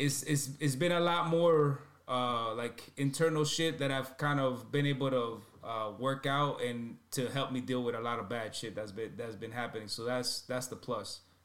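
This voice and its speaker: At a moderate pace and a fairly high pitch with ordinary variation, a man talks over noticeable background noise. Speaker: podcast co-host and rapper. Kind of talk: casual chat. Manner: sometimes quiet.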